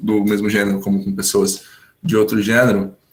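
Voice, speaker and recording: Fairly low pitch from a man, with typical pitch movement and a medium speed. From São Paulo state, Brazil (Hortolândia). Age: 20s. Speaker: English teacher sharing personal story. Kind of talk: testimony.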